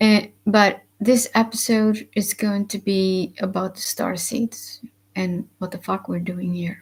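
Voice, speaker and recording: Speaking very slowly, a woman has a somewhat breathy voice with an Icelandic accent. Her intonation is monotone and flat. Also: medium pitch for a woman. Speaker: spiritual vlogger. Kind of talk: live stream monologue. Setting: live stream with webcam. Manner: hesitant, many fillers.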